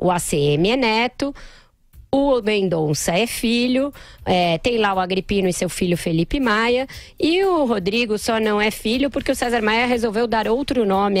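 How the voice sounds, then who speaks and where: In a dry sound with no echo, a woman speaks at a fairly slow pace. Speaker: political commentator. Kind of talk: commentary. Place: studio. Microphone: studio mic.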